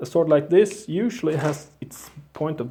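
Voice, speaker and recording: Fairly slow speech with a Swedish accent. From Sweden. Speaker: bladesmith. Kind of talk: tutorial. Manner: halting.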